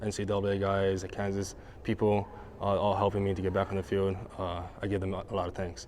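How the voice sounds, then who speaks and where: Very fast and flat, a man delivers his words in a monotone at a fairly low pitch. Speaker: college baseball player. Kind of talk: press interview. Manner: halting.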